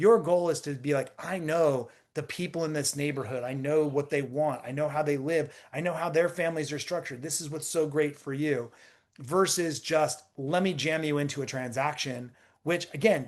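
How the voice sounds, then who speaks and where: The man has an ordinary speaking voice, fairly high in pitch, with fairly even intonation at a moderate pace. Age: 50s. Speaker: real estate tech founder. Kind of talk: podcast interview. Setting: podcast recording.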